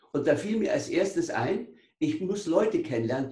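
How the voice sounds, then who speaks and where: A high-pitched male voice with very wide pitch swings and audible room echo. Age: 70s. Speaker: author and former paralysis patient. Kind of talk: interview storytelling. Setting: video call.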